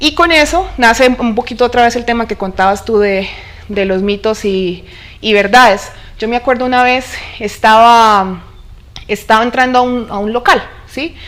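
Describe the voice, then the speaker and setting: A woman speaks with a Colombian accent at a moderate pace. She leaves long, frequent pauses. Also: fairly high pitch for a woman, ordinary pitch variation. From Colombia, Neiva (Huila). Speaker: oil industry engineer. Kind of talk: interview.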